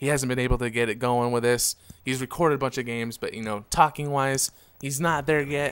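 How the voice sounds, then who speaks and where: In a very clean recording with a silent background, a man speaks at medium pitch with fairly even intonation. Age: 20s. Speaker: gaming commentator. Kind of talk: gameplay commentary. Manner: monotone; halting.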